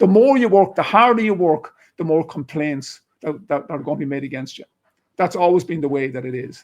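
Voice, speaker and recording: An animated man speaks with an Irish accent at a fairly quick pace. His intonation is lively. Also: fairly high pitch for a man. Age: 60s. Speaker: retired police officer. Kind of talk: interview discussion.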